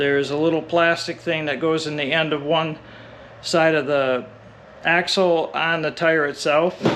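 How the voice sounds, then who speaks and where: Noticeable background noise sits behind a man talking at a fairly slow pace. His pitch is fairly high, and his intonation is monotone and flat. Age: 60s. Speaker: e-bike reviewer, YouTuber. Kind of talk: tutorial. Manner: casual, step-by-step explanatory.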